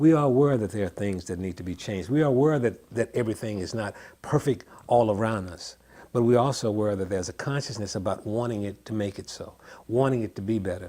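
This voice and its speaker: A man's fairly low, dark and mellow voice in a Memphis accent, at a very fast pace with ordinary pitch variation. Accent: Southern US, Memphis. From US South. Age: 70s. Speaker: songwriter. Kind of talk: interview. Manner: halting, frequent repetitions.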